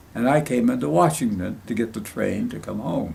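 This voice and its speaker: A man at a moderate pace, with audible room echo. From Ohio Valley, West Virginia area (Greek immigrant family). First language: Greek. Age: 90s. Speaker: war veteran. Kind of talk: oral history interview. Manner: halting, repetitive.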